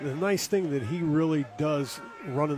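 Fairly high-pitched male speech against noticeable background noise. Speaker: color commentator, former college football coach. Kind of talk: live football color commentary. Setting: stadium broadcast booth. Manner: halting, filler-heavy, self-repeating.

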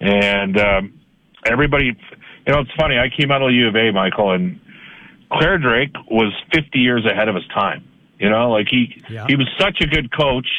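A man with an unremarkable speaking voice talks at a moderate pace. His intonation is lively. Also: medium pitch for a man. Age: 50s. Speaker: hockey radio color commentator. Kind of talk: radio interview about sports. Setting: phone call.

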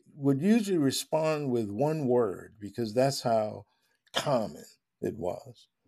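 A man with a normal speaking voice, medium pitch, lively intonation and an American accent, on a very clean recording with a silent background. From Long Island, New York. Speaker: professor and author. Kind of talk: interview conversation.

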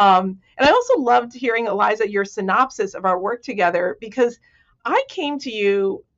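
At a fairly high pitch, a woman speaks at a moderate pace. Her pitch variation is ordinary. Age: 50s. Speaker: professor and author. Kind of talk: casual interview chat.

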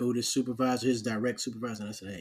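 Here is a man with an American accent talking at a very fast pace. His pitch is medium. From New York (Harlem) and Charleston, South Carolina. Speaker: podcast host, Army veteran. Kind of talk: casual interview.

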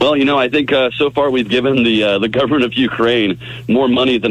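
Noticeable background noise hums under the clip. A man races through his words at a very fast pace. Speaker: political candidate. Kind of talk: radio interview.

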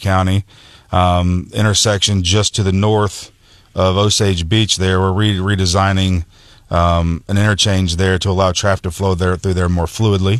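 A man's very deep, low voice in an American accent, flat and monotone, at a moderate pace with very even loudness. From US Midwest, rural mid-Missouri. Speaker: construction company executive. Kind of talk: radio interview. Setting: radio studio.

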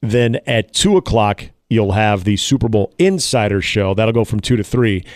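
A man with a plain, everyday voice speaks at a moderate pace with ordinary pitch variation, in a very clean recording with a silent background and a dry, close sound with no echo. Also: medium pitch for a man, very even loudness. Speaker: radio sports host. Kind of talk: casual sports talk radio banter. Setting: radio studio.

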